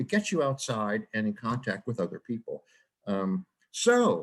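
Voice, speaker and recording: The pitch of this man's voice swings very widely as he talks. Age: 70s. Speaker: cycling researcher and book author. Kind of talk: webinar presentation. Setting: online webinar. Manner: hesitant, with frequent fillers and restarts.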